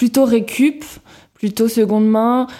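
A woman speaks with a dark, mellow tone and fairly even intonation. She goes at a very slow pace. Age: 20s. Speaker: co-founder of a vintage homeware shop. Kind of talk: interview.

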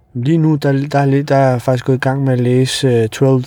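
A man with a medium-pitched voice speaks at a moderate pace in a monotone, flat way, with noticeable background noise behind him. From Kosovo, grew up in Denmark from early childhood. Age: 30s. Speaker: taxi driver. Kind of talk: casual interview. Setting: in a taxi. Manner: hesitant, many fillers.

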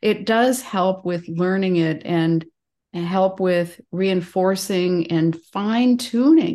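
The voice has a warm tone that is also dark and mellow. It moves at a very slow pace with ordinary pitch variation. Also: woman, medium pitch for a woman, quiet background. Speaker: podcast host and massage therapist. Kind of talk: casual interview chat. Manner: warm, chatty, laughs often.

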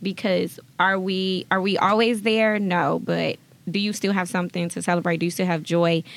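A woman at medium pitch with an American accent and fairly even intonation. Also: moderate pace. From Jackson, Mississippi. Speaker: leadership programs manager. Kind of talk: casual interview chat.

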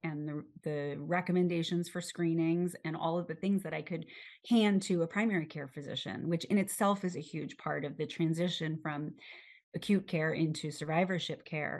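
A woman speaks in a normal speaking voice at a moderate pace. Her pitch is fairly low, with fairly even intonation. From New York City, Manhattan. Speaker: cancer survivor and patient advocate. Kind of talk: interview.

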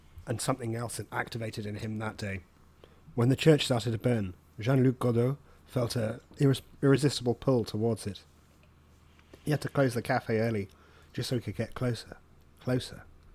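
A man's somewhat breathy, medium-pitched voice with an English accent, at a fairly quick pace with fairly even intonation and long, frequent pauses. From England. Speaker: podcast guest reader. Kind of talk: reading aloud.

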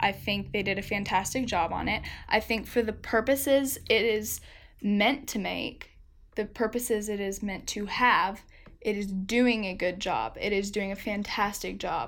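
A woman talks at a moderate pace with vocal fry and fairly even intonation. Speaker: podcast co-host. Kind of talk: solo episode recap. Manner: casual, filler-heavy.

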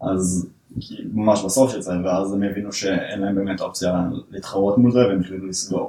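A man uses a normal speaking voice, speaking at a moderate pace with a fairly low pitch and fairly even intonation. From northern Israel. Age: 20s. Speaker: software developer. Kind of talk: casual interview.

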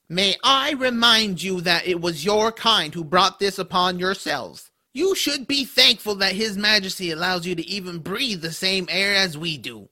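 A man's raised, projected voice, high in pitch, at a moderate pace with hardly any pauses. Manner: sneering, contemptuous.

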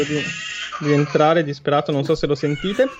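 Over noticeable background noise, a man speaks at a fairly high pitch with fairly even intonation. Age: 30s. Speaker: gaming streamer. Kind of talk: casual chat.

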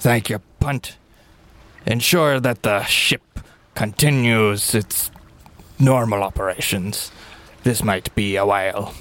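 A man puts on a character voice, fairly low in pitch, talking at a fairly slow pace with long, frequent pauses. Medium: actual play. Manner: measured, authoritative.

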